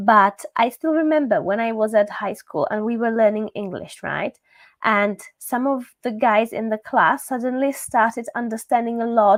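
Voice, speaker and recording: A woman speaks with a Czech accent and ordinary pitch variation. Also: moderate pace. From Czechia. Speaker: language teacher. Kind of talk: live stream talk. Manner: casual, with many fillers.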